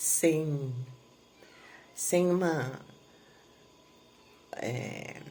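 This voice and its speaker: With audible room echo, a woman speaks in a somewhat breathy voice with a very deep, low pitch. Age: 60s. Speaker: therapy client giving a testimonial. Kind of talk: testimony. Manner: halting, many filler pauses.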